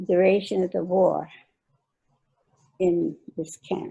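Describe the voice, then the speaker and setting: A woman's medium-pitched voice with an American accent, dark and mellow in tone, monotone and flat, at a very slow pace. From California, Salinas. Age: 80s+. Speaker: oral history interviewee. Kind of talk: oral history interview. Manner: halting, hesitant.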